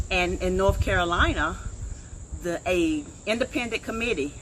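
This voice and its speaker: Ordinary pitch variation and a moderate pace from a woman, with noticeable background noise behind her. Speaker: online show host. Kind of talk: casual interview. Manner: loud.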